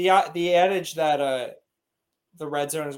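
A man with an ordinary speaking voice and fairly even intonation. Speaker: podcast co-host. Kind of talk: casual chat.

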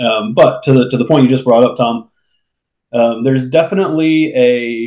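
This man has an unremarkable speaking voice, talking at a moderate pace with a medium pitch and ordinary pitch variation. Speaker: podcast co-host. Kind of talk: casual chat.

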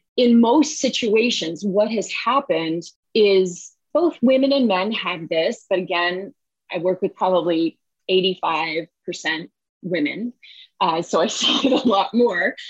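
Speaking in an ordinary speaking voice with an American accent, a woman talks at a fairly slow pace with medium pitch. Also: lively intonation. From US, San Francisco Bay Area. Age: 50s. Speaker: money coach and author. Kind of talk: interview.

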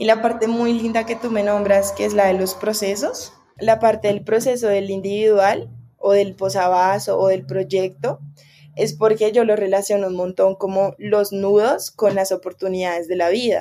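A woman with a Bogotá accent speaks at a medium pitch. Her pace is moderate and her intonation fairly even. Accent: Bogotá Colombian Spanish. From Colombia, Bogotá. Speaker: macramé artisan and workshop teacher. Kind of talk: casual interview chat.

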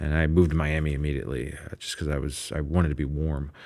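A man with a Midwestern accent and a very deep, low voice at a very fast pace, on a very clean recording with a silent background. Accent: general American Midwest. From US Midwest. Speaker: podcast host and producer. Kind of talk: casual interview chat. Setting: recording studio.

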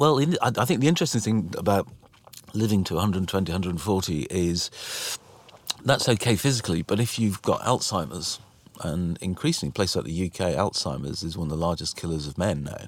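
Noticeable background noise runs behind the recording. A man speaks with a very deep, low pitch. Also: moderate pace. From Wales. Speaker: museum chief executive, former health executive. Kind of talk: interview conversation. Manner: hesitant, filler words.

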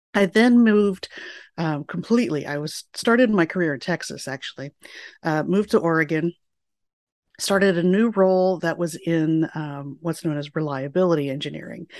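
Against a quiet background, a woman with an ordinary speaking voice talks at a moderate pace in a fairly low pitch with ordinary pitch variation, the sound dry and close with no echo. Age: 40s. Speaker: physicist and program manager. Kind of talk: interview.

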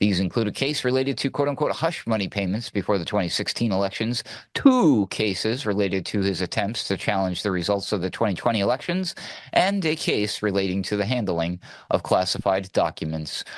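Over a quiet background, a man with an ordinary speaking voice talks at a fairly quick pace, fairly low in pitch with ordinary pitch variation. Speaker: news producer and segment co-host. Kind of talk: radio news banter, comedic news segment. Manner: playful, cheeky, bantering.

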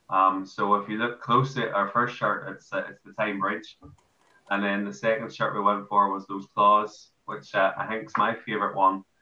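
A man with an Irish accent, fairly even intonation and big swings in loudness. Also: fairly low pitch for a man, moderate pace. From Ireland. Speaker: amateur football player. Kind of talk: casual interview.

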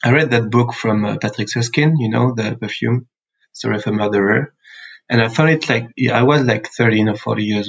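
A man speaks at a medium pitch with a French accent and a somewhat breathy sound. His intonation stays fairly even as he talks at a fairly quick pace. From France, central (Sancerre). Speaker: perfumer and musician. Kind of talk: interview. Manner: hesitant, many fillers.

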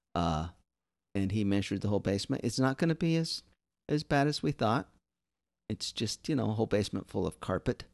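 Against a quiet background, a man with a fairly low pitch and an animated tone talks at a fairly quick pace with lively intonation, very even loudness, and long, frequent pauses. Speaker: comedian co-host. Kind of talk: casual comedy chat. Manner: animated, joking.

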